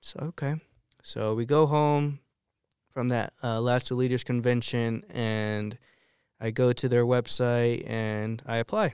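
Heard in a very clean recording with a silent background and a dry, close sound with no echo, a man with a plain, everyday voice speaks at a medium pitch and a fairly slow pace with fairly even intonation. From Arizona, Tucson area. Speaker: minister. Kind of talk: testimony.

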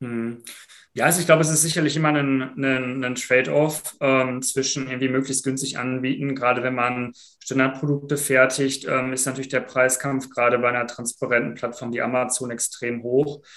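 At a moderate pace and medium pitch, a man talks in a monotone, flat intonation. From Germany, Sauerland (Iserlohn). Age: 20s. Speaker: founder and student. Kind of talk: casual interview.

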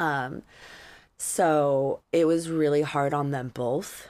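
A woman speaks with fairly even intonation at a very deep, low pitch. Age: 30s. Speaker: podcast host. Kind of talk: casual chat. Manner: halting.

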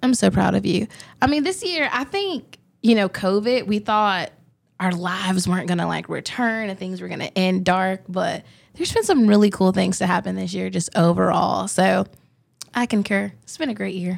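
A woman with a Southern US accent is heard on a very clean recording with a silent background. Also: moderate pace. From US South, Augusta Georgia. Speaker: student intern, co-host. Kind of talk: casual chat. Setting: studio.

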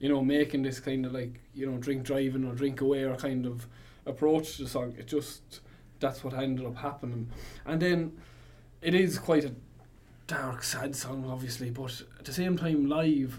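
Speaking in a strong Irish Midlands accent, a man talks at a moderate pace with fairly even intonation and a somewhat breathy sound. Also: medium pitch for a man. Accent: Irish Midlands with Cavan touch, strong. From Longford, Ireland. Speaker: band member musician. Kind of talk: casual interview chat. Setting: radio studio.

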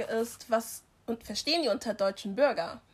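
Moving at a moderate pace, this is a plain, everyday voice. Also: woman. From Germany, immigrant family background. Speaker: podcast co-host. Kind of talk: casual chat.

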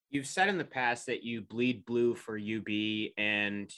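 This man speaks at a medium pitch with a western New York accent. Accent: western New York (Inland North). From Rochester area, New York. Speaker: podcast host. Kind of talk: interview hosting.

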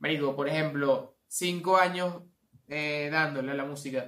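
This man speaks in a Venezuelan accent. His pitch variation is ordinary. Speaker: podcast host. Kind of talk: casual chat.

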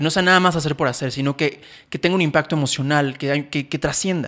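A man talks at a fairly quick pace in a bright, sharp tone. The recording is very clean, with a silent background. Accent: Mexican. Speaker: podcast co-host and photographer/filmmaker. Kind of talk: casual chat. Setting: studio with cameras. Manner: fast.

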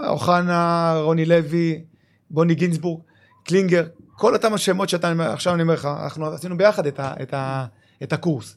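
A man at a high pitch and moderate pace, with fairly even intonation, in a very clean recording with a silent background. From Israel, Lod. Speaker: retired footballer and club manager. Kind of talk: casual interview.

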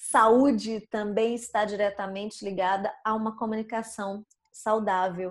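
A woman's fairly high, flat monotone at a fairly slow pace. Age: 40s. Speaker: communication and public speaking coach. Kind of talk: casual interview chat. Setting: online recording.

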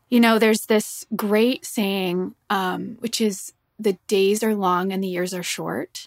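A woman with an ordinary speaking voice, medium in pitch with ordinary pitch variation, at a moderate pace, dry and close with no echo. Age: 40s. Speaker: singer-songwriter and musician. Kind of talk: casual interview conversation. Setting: video call.

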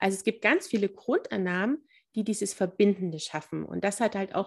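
With ordinary pitch variation, a woman has an ordinary speaking voice at a moderate pace in a very clean recording with a silent background. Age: 30s. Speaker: family counselor and mediator. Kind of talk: interview.

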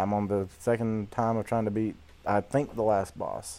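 A man talks with a Southern US accent. His tone is dark and mellow. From Georgia, US Deep South. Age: 20s. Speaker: high school math teacher, podcast co-host. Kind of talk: casual chat.

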